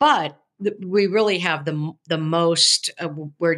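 A woman speaks at a fairly slow pace with fairly even intonation against a quiet background. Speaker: podcast co-host, professor. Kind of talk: podcast discussion on scripture. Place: home room. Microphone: video call.

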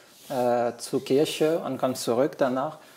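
A man with a French accent speaks at a fairly slow pace. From France, Brittany. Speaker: migrant guest. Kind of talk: casual interview. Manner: halting. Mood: relaxed, friendly. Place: kitchen.

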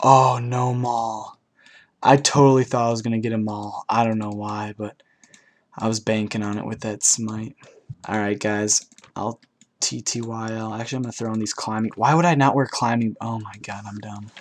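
At medium pitch, a man with an ordinary speaking voice keeps a moderate pace and fairly even intonation. His loudness swings widely. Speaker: gaming YouTuber. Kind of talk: gameplay commentary. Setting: home recording.

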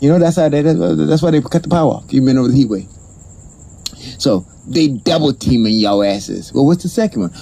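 Medium-pitched male voice with very wide pitch swings at a fairly quick pace. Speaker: comedian. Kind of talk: improvised comedy rant to camera. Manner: energetic, animated. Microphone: phone near.

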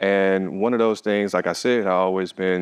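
A man with an American accent, fairly low in pitch, fairly even in intonation, at a moderate pace, with a quiet background. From Detroit, Michigan, US; Michigan. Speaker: visual artist; interviewee. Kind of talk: interview. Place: hall.

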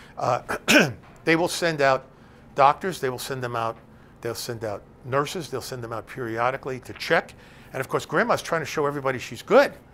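A man's bright, sharp tone sits at a fairly high pitch, with an American accent. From New Jersey (Bergen County); New Jersey. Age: 70s. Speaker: elder law attorney. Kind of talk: lecture. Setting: stage with audience. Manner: conversational, with many filler words. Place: classroom.

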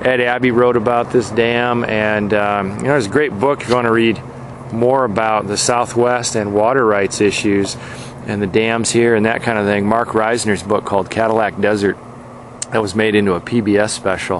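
Over light background noise, the dry, echo-free delivery moves at a moderate pace in a monotone, flat intonation. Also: man, fairly low pitch for a man. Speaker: road trip narrator. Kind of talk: casual travel commentary. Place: open country. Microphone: phone near.

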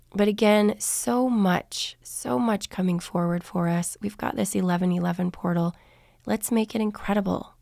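In a very clean recording with a silent background, a woman with a dark, mellow tone talks at a moderate pace and medium pitch, her pitch varying in an ordinary way. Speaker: spiritual channeler and podcast host. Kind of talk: spiritual podcast monologue.

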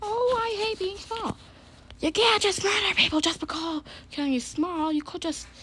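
Over clear background noise, a cartoonish character voice at an extremely high pitch speaks at a moderate pace. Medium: puppet show. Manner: menacing, sulky.

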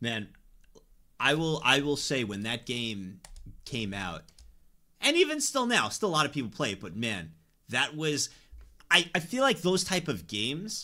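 A man's bright, sharp tone with vocal fry and very wide pitch swings, at a moderate pace with long, frequent pauses, over a quiet background. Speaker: streamer. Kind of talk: casual livestream chat. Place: home room.

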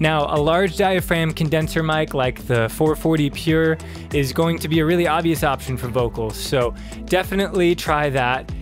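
A man's voice sounds dry, with no echo. Clear music is heard behind it. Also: fairly even intonation, moderate pace. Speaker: presenter. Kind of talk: tutorial. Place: studio. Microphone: studio mic.

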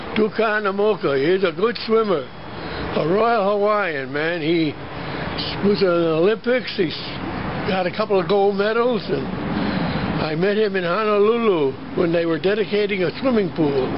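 At a moderate pace, the speech comes with long, frequent pauses over noticeable background noise. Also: man. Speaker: former competitive swimmer. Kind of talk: casual family conversation, reminiscing. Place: garden. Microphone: phone near.

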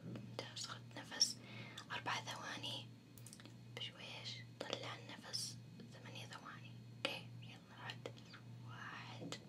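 A woman speaks at a very slow pace with long, frequent pauses. Loud background noise runs underneath.

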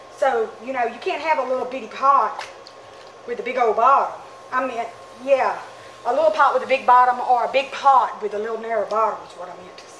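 A woman talks at a high pitch and a fairly quick pace, with ordinary pitch variation and big swings in loudness. Audible room echo and light background noise are present. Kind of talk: tutorial. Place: workshop.

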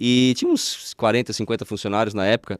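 Against a quiet background, a man speaks with a dry sound with no echo. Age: 40s. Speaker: spiritual healer; podcast guest. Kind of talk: interview. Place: studio. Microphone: studio mic.

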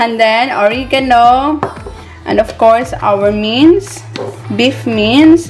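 Clear music plays behind a woman's voice. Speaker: home cooking vlogger. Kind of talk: casual vlog chat. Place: kitchen. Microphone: phone near.

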